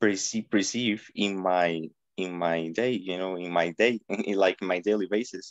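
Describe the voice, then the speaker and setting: Fairly even intonation and a moderate pace from a man with a fairly low pitch. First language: not English. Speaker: participant asking question. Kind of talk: question at online event. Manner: halting.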